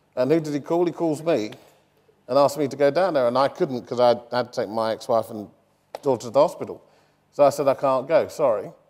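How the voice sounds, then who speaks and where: Very fast speech comes from a man with a fairly high-pitched voice. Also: ordinary pitch variation. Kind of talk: public interview on stage.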